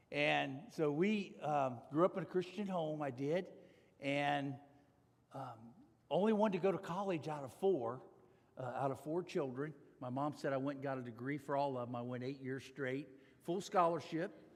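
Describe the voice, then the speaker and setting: A man talks at a moderate pace with a fairly high pitch. Audible room echo surrounds his voice. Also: ordinary pitch variation. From US Midwest, Ohio (north of Cincinnati). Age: 60s. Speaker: corporate executive and speaker. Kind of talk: testimony talk at church.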